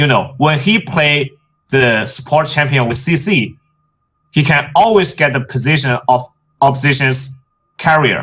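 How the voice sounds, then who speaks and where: With a bright, sharp tone and a fairly high pitch, a man speaks at a fairly slow pace with ordinary pitch variation, very even loudness, and long, frequent pauses. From China. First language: Chinese. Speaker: esports analyst. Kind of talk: casual panel discussion. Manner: halting, non-fluent.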